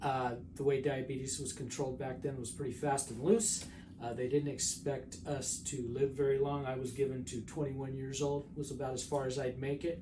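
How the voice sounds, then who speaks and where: With an audible echo from the room, a man speaks at a moderate pace. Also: medium pitch for a man, ordinary pitch variation. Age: 50s. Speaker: patient. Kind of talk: testimony.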